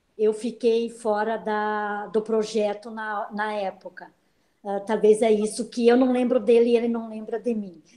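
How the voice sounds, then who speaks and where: A woman's fairly high voice, dark and mellow in tone, monotone and flat at a fairly slow pace. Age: 60s. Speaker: senior program participant. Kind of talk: panel talk in online live event. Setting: online live video event.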